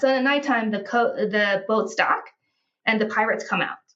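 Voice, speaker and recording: A woman with a normal speaking voice talks at a moderate pace, her fairly high pitch showing ordinary pitch variation. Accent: American. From United States. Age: 40s. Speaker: healthcare sales professional, traveler. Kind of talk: casual interview, personal story.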